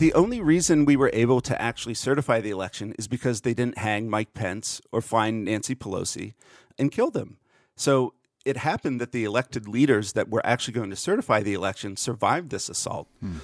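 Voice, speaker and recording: A man with a Pennsylvania accent at medium pitch, ordinary pitch variation, and a dry, close sound with no echo in a very clean recording with a silent background. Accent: American, Pennsylvania. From central Pennsylvania. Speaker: podcaster and political commentator. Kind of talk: interview discussion.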